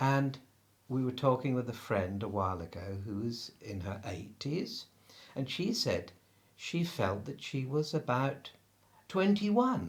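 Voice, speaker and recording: Speaking slowly in an English accent, a man with a medium-pitched, somewhat breathy voice makes very wide pitch swings. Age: 60s. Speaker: spiritual practitioner. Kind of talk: interview.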